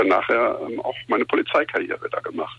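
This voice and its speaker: A man at a fairly quick pace, against noticeable background noise. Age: 50s. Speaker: tournament founder and former police officer. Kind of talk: radio interview. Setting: phone call. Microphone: phone line.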